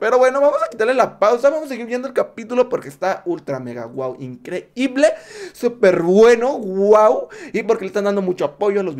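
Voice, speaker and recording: The speaker is a man. His pace is moderate. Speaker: reaction youtuber. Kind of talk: casual reaction commentary. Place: home room. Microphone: studio mic.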